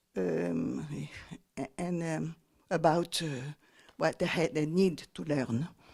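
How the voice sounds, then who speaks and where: Speaking at a very slow pace with long, frequent pauses, a woman uses a very deep, low pitch, vocal fry and lively intonation. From Tahiti, French Polynesia. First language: French or Tahitian. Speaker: poet. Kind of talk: interview. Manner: halting, many fillers and repeats.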